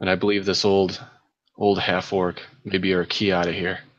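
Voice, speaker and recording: Using a put-on character voice, a man speaks at a moderate pace with a very deep, low, raspy pitch and monotone, flat intonation. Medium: actual play. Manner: blunt, hard.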